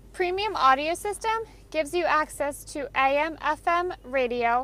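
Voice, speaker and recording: A woman's voice, high in pitch. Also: dry sound with no echo. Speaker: car sales product specialist. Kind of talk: sales walkthrough. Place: car. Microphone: phone near.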